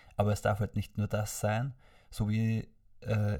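A somewhat breathy man's voice in a very clean recording with a silent background. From Austria, Vorarlberg. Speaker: podcast guest. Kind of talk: casual chat. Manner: stammering.

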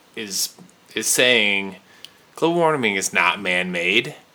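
A man speaks with lively intonation amid noticeable background noise. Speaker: podcast host. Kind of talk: casual banter, movie chat.

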